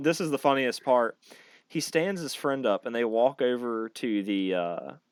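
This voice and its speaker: With a Southern East Coast accent, a man speaks at medium pitch in an animated tone. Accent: mild Southern East Coast. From North Carolina. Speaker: podcast host, military veteran. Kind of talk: casual chat.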